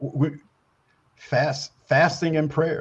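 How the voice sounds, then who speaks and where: A very slowly paced man's voice, fairly high-pitched and somewhat breathy. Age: 70s. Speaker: guest, newspaper publisher and military consultant. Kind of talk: talk show interview. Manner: halting, many repetitions and fillers.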